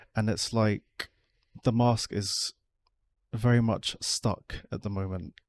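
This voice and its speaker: A man with a British accent and a fairly low pitch speaks at a very slow pace with fairly even intonation and long, frequent pauses. The very clean recording has a silent background and a dry, close sound with no echo. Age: 30s. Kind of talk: personal vlog talk. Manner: monotone; effortful inflection.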